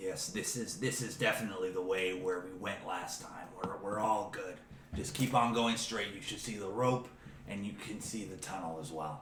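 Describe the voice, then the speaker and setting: Using a put-on character voice, a man speaks in a raspy, fairly low register at a moderate pace, with slight echo and clear background noise. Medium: actual play. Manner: chatty, casual.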